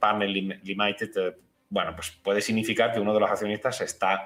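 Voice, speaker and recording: Speaking at a fairly quick pace, a man talks with an Andalusian accent. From Andalusia, Spain. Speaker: financial analyst. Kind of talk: TV interview. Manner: clear.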